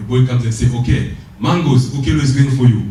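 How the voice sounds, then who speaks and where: A man at a moderate pace, with a Congolese accent, amid noticeable background noise and audible room echo. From DR Congo. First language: French. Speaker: motivational speaker. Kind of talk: motivational speech. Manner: animated.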